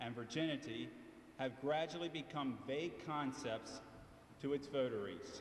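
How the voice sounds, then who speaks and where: A man with an American accent at a fairly slow pace, with audible room echo and noticeable background noise. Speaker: attorney, debate speaker. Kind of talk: prepared debate speech. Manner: loud.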